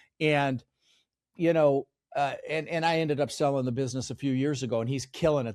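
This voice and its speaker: Very fast speech comes from a man at a medium pitch. The sound is dry and close with no echo, and the recording is very clean with a silent background. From Netherlands, raised in US from age 6. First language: Dutch. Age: 60s. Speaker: real estate investor and mentor. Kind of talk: podcast interview.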